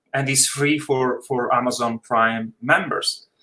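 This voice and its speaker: A man's moderately paced speech in an Italian accent. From Italy. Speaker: film director. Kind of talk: casual chat.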